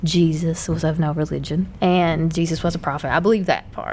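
A woman's fairly low, monotone, flat voice with an American accent, over noticeable background noise. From US South (Bible Belt). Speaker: podcast co-host. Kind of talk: casual chat.

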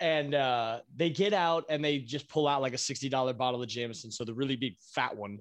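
Hardly pausing, a man speaks at a moderate pace. His medium pitch shows ordinary variation. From Virginia Beach, Virginia. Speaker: drummer in a band. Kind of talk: casual chat. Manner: loud; animated.

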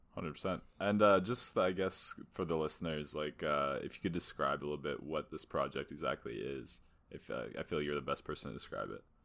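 Speaking at a fairly quick pace, a man with a very deep, low pitch shows vocal fry and ordinary pitch variation. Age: 20s. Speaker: podcast co-host. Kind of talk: casual chat.

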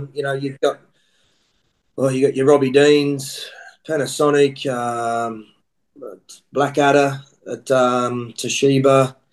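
In an Australian accent, a man speaks at a very slow pace in a monotone, flat intonation, with long, frequent pauses. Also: medium pitch for a man. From Australia (Queensland). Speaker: rugby coach. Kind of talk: casual chat.

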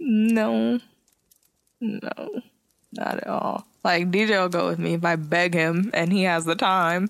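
With an American accent, a woman speaks very slowly at a medium pitch, her intonation lively and her speech marked by long, frequent pauses. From San Jose, California. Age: 20s. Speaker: podcast host. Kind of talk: casual chat.

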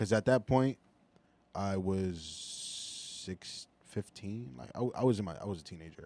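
Speaking at a moderate pace with long, frequent pauses, a man with a Philadelphia accent uses a dark, mellow tone, fairly low pitch, lively intonation and big swings in loudness. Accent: Philadelphia American. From US, Philadelphia. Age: 20s. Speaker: artist. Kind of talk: casual chat.

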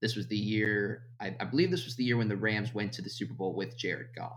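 A man speaks with fairly even intonation. The room echo is audible. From Florida. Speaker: sports writer. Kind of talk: casual chat.

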